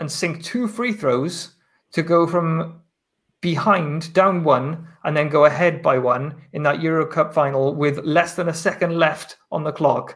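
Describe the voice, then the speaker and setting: A man with a Welsh accent and a high pitch, at a fairly slow pace. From Wales. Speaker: basketball journalist. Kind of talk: casual chat.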